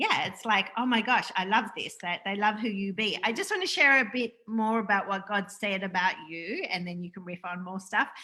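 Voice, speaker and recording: A woman at a moderate pace with ordinary pitch variation and hardly any pauses, over noticeable background noise. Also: medium pitch for a woman. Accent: Australian. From Australia. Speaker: spiritual interview host. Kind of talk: casual spiritual interview chat on livestream. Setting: Facebook live video call. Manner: animated.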